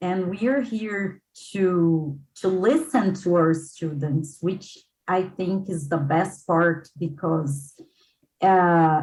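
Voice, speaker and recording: Very slow speech comes in a somewhat breathy voice, its pitch varying in an ordinary way. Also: woman. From midwest Brazil. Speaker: English school founder and teacher. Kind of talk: casual chat.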